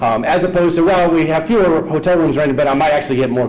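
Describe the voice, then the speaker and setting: A very fast man with an American accent, amid noticeable background noise and audible room echo. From US South (Georgia). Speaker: economist panelist. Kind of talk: panel presentation.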